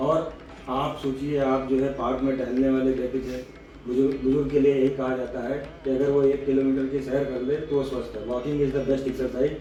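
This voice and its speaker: The delivery is monotone with flat intonation, set against noticeable background noise. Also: man. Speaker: spine doctor. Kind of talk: doctor talking with patient on camera.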